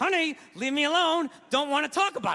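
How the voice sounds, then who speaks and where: A man puts on a gruff character voice pitched extremely high. He talks at a fairly quick pace. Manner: gruff, through teeth.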